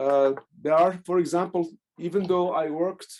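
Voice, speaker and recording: Here a man talks in a dark, mellow tone at a moderate pace, with ordinary pitch variation. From Algeria. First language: Algerian Arabic (Darija). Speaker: professor and poet. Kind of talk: academic Q&A. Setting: video call. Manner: halting.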